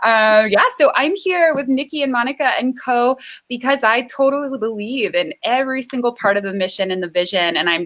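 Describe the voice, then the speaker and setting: An ordinary speaking voice belongs to a woman with an American accent. She talks at a fairly quick pace with fairly high pitch and lively intonation. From US East Coast. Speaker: nutritional therapy practitioner and coach. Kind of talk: self-introduction in online discussion.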